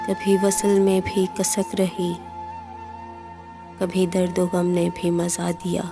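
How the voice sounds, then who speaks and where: A woman speaks with monotone, flat intonation and very even loudness, leaving long, frequent pauses. Music plays in the background. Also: medium pitch for a woman. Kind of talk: poetry reading. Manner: slow, sorrowful.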